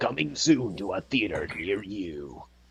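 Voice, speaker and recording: A man puts on a character voice at a fairly low pitch. He speaks at a fairly slow pace. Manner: funny, exaggerated.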